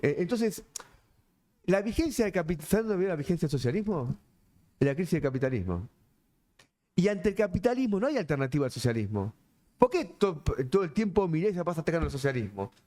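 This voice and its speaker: A high-pitched man with a Rioplatense accent, very fast pace, very wide pitch swings and long, frequent pauses. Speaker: politician. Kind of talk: panel discussion. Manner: animated.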